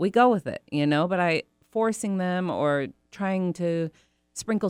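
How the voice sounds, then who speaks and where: A woman's ordinary speaking voice with ordinary pitch variation, a dry, close sound with no echo, and a very clean recording with a silent background. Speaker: dog treat business owner. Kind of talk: casual interview chat. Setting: studio.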